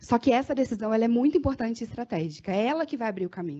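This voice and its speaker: Talking very fast, a woman lets her intonation bounce in a lively way. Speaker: marketing consultant. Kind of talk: workshop talk. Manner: animated.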